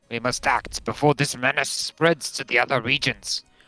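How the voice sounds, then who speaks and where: A gruff, put-on character voice sits at a low-to-middle pitch and moves at a moderate pace. Music plays in the background. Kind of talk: archaic, formal.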